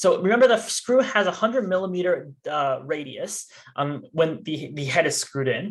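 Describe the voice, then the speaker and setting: A man's high-pitched voice with lively intonation. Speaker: student robotics team workshop instructor. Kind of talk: tutorial. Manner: fast.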